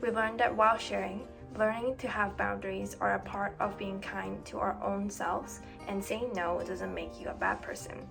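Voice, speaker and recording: A woman keeps to a moderate pace. Behind her voice, music is playing. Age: 20s. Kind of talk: personal reflective narration. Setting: background noise.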